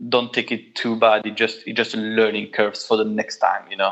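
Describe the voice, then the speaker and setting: In a strong French accent, a man speaks at a fairly quick pace. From Belgium. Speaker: guitarist and studio owner. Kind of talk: interview. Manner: halting, many repetitions.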